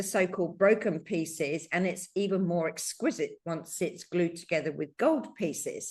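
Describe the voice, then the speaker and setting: A woman with an unremarkable speaking voice talks at a moderate pace with ordinary pitch variation. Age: 60s. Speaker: podcast host. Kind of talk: casual chat.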